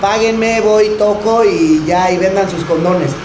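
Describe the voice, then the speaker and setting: A man speaks in a monotone, flat intonation over noticeable background noise. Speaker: panelist. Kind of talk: panel talk to audience. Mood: relaxed, joking. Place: cafe. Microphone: handheld.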